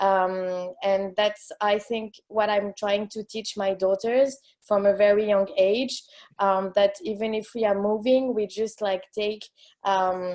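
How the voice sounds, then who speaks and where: In a French accent, a woman with a dark, mellow tone talks at medium pitch and a fairly slow pace, her intonation fairly even. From France. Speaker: expat coach. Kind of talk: casual chat. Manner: halting.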